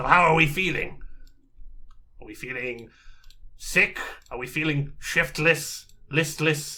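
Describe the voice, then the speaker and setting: Putting on a character voice, a man speaks raspy at a fairly high pitch with fairly even intonation, big swings in loudness and long, frequent pauses. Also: fairly slow pace. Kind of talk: tabletop character voice. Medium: actual play. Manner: measured, fussy, precise.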